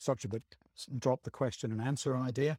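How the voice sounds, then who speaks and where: Somewhat breathy and dark, mellow in tone, a man speaks with ordinary pitch variation in a dry, close sound with no echo, on a very clean recording with a silent background. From northern England, Stockton-on-Tees. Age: 50s. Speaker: short story writer, retired civil servant. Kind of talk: casual interview chat.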